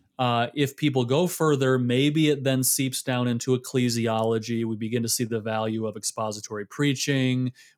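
A man talks at a moderate pace and medium pitch, with hardly any pauses and fairly even intonation. He has a plain, everyday voice, recorded very cleanly against a silent background. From US Midwest, Michigan. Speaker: theologian and author. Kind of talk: interview.

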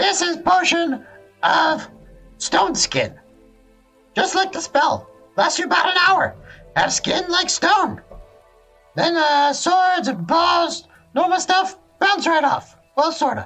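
A man in an excited, put-on character voice at a fairly slow pace, with long, frequent pauses and faint music in the background. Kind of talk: fantasy roleplay voice. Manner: broken, clipped speech, excited.

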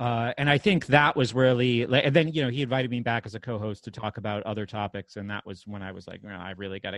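This man has a plain, everyday voice with ordinary pitch variation, speaking at a moderate pace against a quiet background. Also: dry, close sound with no echo. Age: 30s. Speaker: podcast host. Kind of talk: casual chat.

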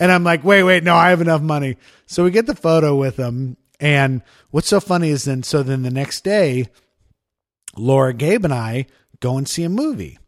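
A man at a fairly high pitch, with lively intonation, a moderate pace and long, frequent pauses, in a very clean recording with a silent background. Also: dry, close sound with no echo. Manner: sits back from mic, quieter level.

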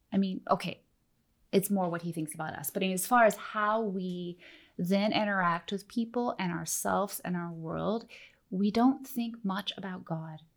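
With an American accent, a woman speaks at a moderate pace in an unremarkable speaking voice of medium pitch. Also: ordinary pitch variation. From Oregon, US. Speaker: teacher and missionary. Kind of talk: interview, teaching talk.

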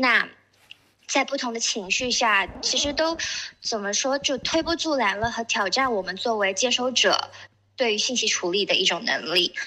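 Lively intonation from a woman, high-pitched, at a moderate pace. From Shenzhen, China. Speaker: artist. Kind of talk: panel talk at exhibition opening. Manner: hesitant, many fillers.

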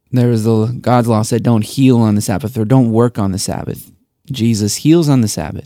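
Mumbling, a man talks at a moderate pace. His voice sits at a medium pitch with ordinary pitch variation. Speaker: pastor. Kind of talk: casual chat.

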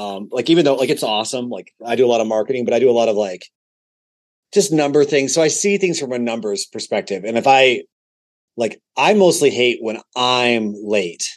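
In a General American accent, a man talks at a fairly quick pace with a medium pitch and lively intonation. It is a normal speaking voice. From Colorado, Denver area. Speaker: musician and podcast guest. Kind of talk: casual chat.

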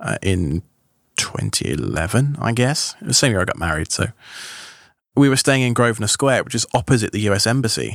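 A fairly low-pitched man with a British accent and vocal fry. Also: very clean recording, silent background. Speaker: tech podcaster. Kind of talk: casual chat. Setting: studio.

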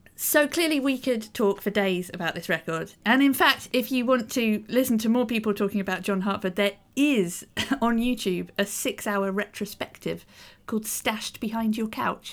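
This woman speaks with a British accent and a fairly high pitch. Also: ordinary pitch variation, moderate pace, very clean recording, silent background. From Britain. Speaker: podcast co-host. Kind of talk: casual discussion podcast.

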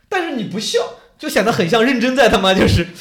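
A man with a high pitch speaks at a very fast pace in an animated tone. His pitch swings very widely over noticeable background noise. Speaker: stand-up comedian and debate show contestant. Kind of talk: casual chat. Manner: animated, joking.

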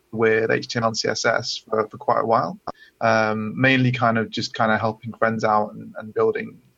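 This man speaks with a British accent. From UK. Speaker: coding bootcamp student. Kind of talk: webinar Q&A conversation. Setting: webinar, online.

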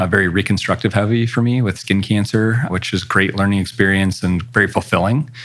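Fairly low male pitch at a moderate pace, in a normal speaking voice. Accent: American. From US Pacific Northwest (northern Idaho). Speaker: facial plastic surgeon. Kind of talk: interview.

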